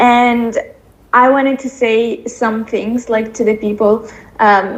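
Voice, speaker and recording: A fairly high-pitched woman with a non-native accent and monotone, flat intonation, amid noticeable background noise. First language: not English. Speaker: coaching client. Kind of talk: testimony voice note. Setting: recorded voice note.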